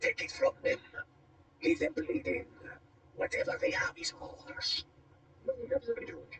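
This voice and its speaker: A raspy, put-on character voice moves at a moderate pace with long, frequent pauses. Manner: menacing, commanding.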